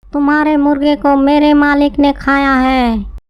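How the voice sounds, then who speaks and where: A cartoonish character voice sits at a high pitch. It moves at a fairly slow pace. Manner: repetitive, parroting.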